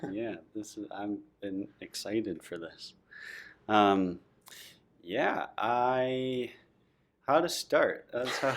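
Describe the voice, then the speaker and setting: A man delivers his words very slowly, his pitch rising and falling in a normal way. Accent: Upper Midwest. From Minnesota, Saint Cloud. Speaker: artist. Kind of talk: casual chat.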